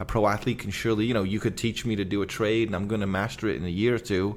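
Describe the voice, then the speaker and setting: A man's fairly low-pitched voice carries a monotone, flat intonation. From England, Liverpool. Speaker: evangelist, former pro athlete. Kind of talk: podcast interview. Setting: kitchen at home.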